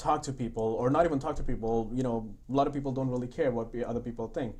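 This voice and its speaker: A man speaks at a very fast pace. His medium-pitched voice has fairly even intonation. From India. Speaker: construction company founder. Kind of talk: podcast interview.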